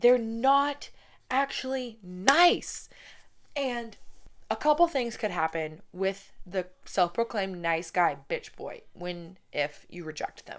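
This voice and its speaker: A woman with an American accent speaks at a very slow pace, her pitch swinging very widely. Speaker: podcast host. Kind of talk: angry rant. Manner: loud, sweary, animated, fired up; sarcastic and cheeky, with laughs and sighs.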